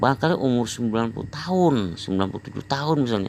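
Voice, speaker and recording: Very wide pitch swings in a man's voice of medium pitch. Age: 60s. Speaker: health exercise practitioner vlogger. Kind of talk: personal testimony monologue. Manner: rambling, repetitive.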